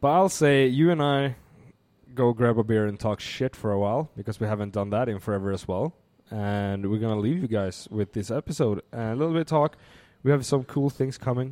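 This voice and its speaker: In a very clean recording with a silent background and a dry, close sound with no echo, a dark, mellow tone moves at a fairly quick pace with ordinary pitch variation. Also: man, medium pitch for a man. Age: 20s. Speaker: podcast co-host and bartender. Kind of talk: casual chat. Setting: studio.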